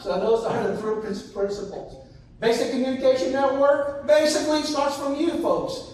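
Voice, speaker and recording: With audible room echo and noticeable background noise, a man talks at a moderate pace in an extremely high pitch, his pitch varying an ordinary amount. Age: 50s. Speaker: sheriff's deputy. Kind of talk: community presentation.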